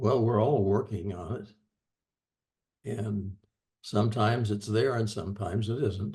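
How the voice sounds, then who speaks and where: Somewhat breathy and dark, mellow in tone, a man's fairly low voice moves with fairly even intonation and long, frequent pauses. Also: moderate pace. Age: 90s. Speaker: discussion participant. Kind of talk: group discussion. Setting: video call.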